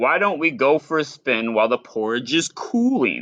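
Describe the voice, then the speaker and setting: This put-on character voice sits at a low-to-middle pitch and moves at a moderate pace. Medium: read story. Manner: prim, composed.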